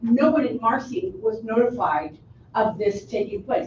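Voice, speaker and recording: A woman with a normal speaking voice, fairly high in pitch and fairly slow in pace. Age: 60s. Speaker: resident testifying at public hearing. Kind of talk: public testimony.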